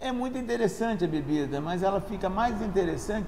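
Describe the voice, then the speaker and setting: With a Rio de Janeiro accent, a man talks in a high voice with ordinary pitch variation, amid noticeable background noise and audible room echo. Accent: carioca. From Brazil, Rio de Janeiro. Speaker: engineer and sommelier student. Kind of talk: informal talk on wine. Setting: restaurant. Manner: halting, frequent self-corrections.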